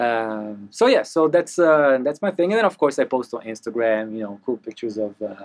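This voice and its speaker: A man with an Italian accent at a fairly quick pace, with very wide pitch swings. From Italy. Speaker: mixing engineer. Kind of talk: casual interview chat. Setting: recording studio. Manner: animated, talks with hands.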